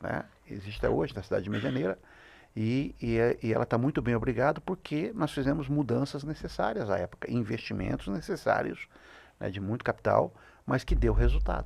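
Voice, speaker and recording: The speaker is a man talking at a fairly quick pace. The recording is very clean, with a silent background. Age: 60s. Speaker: business consultant. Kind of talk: podcast interview. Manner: halting, with many fillers.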